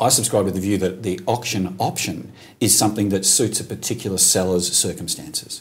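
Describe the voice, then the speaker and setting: A somewhat breathy man's voice, fairly low in pitch, at a fairly quick pace with ordinary pitch variation. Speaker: auctioneer, state auctioneering champion. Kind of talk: interview answer.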